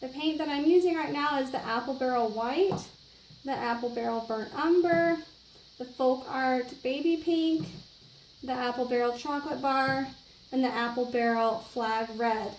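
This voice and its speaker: A woman speaks at a moderate pace with a high pitch and ordinary pitch variation. Room echo is audible. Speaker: art instructor. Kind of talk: tutorial. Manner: hesitant with many fillers.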